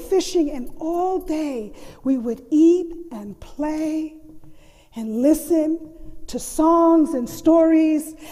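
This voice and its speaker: Her voice sits at an extremely high pitch yet has a dark, mellow tone. The woman speaks at a very slow pace with lively intonation. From US mainland and Puerto Rico. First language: Spanish. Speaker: storyteller, college faculty member. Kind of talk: storytelling performance.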